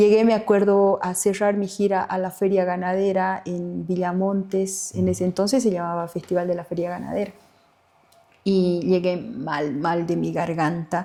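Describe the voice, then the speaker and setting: At a fairly slow pace, a woman speaks with a medium pitch, a dark, mellow tone and fairly even intonation. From Bolivia, Tarija (Chaco region). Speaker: singer-songwriter. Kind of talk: interview conversation.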